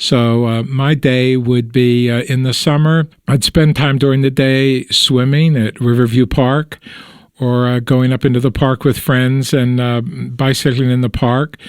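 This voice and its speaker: In a Western Pennsylvania accent, a man speaks with a relaxed tone and flat, monotone intonation. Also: medium pitch for a man, fairly slow pace. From Pittsburgh, Pennsylvania. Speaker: oral history interviewee. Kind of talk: interview answer. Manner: relaxed, conversational.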